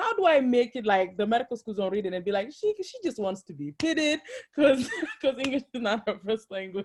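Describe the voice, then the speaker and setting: The speaker moves at a fairly quick pace. Pitch swings very widely and loudness rises and falls sharply. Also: woman, fairly high pitch for a woman. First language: not English. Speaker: medical school applicant. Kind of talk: question in webinar.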